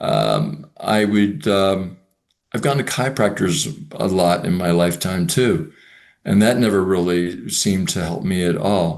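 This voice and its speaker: The delivery is fairly slow, with ordinary pitch variation. A quiet background sits behind it. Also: man, very deep, low pitch for a man. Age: 60s. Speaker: mobility coaching student. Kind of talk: interview. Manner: halting, many fillers and repetitions.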